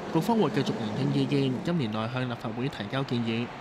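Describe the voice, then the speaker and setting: There is noticeable background noise behind this man. He speaks at a medium pitch and a fairly quick pace. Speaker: news reporter. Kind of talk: news report narration.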